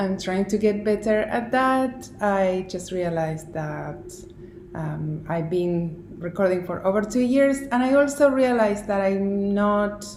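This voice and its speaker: A woman's medium-pitched voice at a fairly slow pace, with ordinary pitch variation and audible room echo. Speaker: knitting designer and video podcaster. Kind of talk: casual vlog monologue. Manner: very slow; halting with many fillers and pauses.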